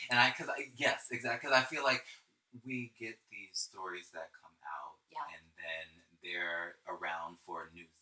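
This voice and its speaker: At a moderate pace, a man with a medium pitch and an American accent speaks with very wide pitch swings. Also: big swings in loudness. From US. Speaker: podcast co-host. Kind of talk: casual chat. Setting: Instagram live stream.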